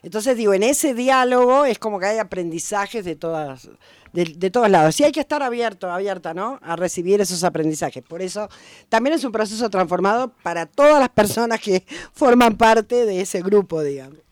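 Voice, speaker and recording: With a porteño accent, a woman talks at a fairly quick pace in a medium-pitched voice with lively intonation, on a very clean recording with a silent background. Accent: porteño (Buenos Aires). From Buenos Aires, Argentina. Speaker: historian and popular educator. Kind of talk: radio interview.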